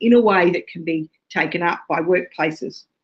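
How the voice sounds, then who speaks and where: Over a quiet background, a woman with an Australian accent speaks at a fairly slow pace and fairly low pitch. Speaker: associate professor, ergonomics researcher. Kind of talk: webinar presentation. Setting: webinar, remote. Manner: hesitant, many fillers.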